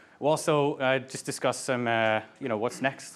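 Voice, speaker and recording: In an American accent, a man talks at medium pitch with fairly even intonation. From US Midwest, Ohio. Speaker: product manager. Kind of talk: meetup talk. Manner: casual, many fillers.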